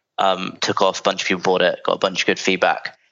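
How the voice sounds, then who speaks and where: A man with a London accent. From London, England. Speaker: founder of a business brokerage firm. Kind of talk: interview. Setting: remote call.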